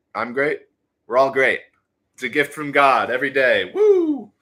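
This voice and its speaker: Animated, with a bright, sharp tone, a man speaks at a fairly slow pace using ordinary pitch variation. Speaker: livestreamer. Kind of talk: casual livestream talk.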